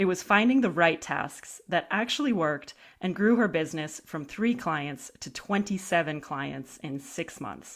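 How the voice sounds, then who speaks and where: A woman's fairly low voice with a warm, upbeat tone, lively intonation and hardly any pauses. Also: fairly slow pace. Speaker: podcast host. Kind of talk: scripted intro then interview chat. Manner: warm, upbeat, enthusiastic.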